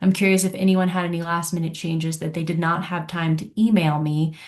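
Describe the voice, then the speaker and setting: A woman speaks in a somewhat breathy, fairly low voice with monotone, flat intonation. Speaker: council staff coordinator. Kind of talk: public meeting presentation.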